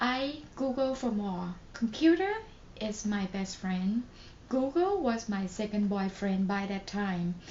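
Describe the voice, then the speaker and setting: Over noticeable background noise, a woman with a Thai accent speaks at a very slow pace and a medium pitch. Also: ordinary pitch variation. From Thailand. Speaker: nurse. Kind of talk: casual talk to camera.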